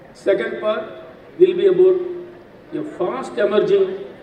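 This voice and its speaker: A man talks in an animated tone, with audible room echo and noticeable background noise around him. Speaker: scientist giving guest lecture. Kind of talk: lecture to students. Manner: animated, questioning the audience.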